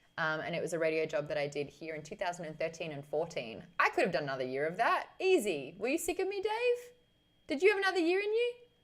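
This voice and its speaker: Animated and very fast, a woman talks in an Australian accent against noticeable background noise. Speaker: streamer, former radio host. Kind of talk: casual live stream chat. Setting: live stream.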